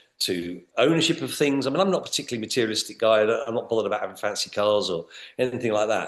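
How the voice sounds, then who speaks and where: Speaking very fast with lively intonation, a man talks in a British accent. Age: 60s. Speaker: business trainer. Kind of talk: podcast interview. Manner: halting, with many repeated words.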